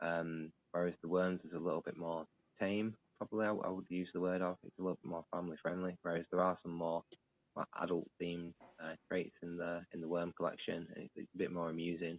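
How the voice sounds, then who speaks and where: A man with a northern English accent speaks in a very deep, low pitch at a fairly quick pace. His intonation is monotone and flat, and the sound is dry and close with no echo. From northern England. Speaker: digital artist. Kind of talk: interview. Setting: live online stream.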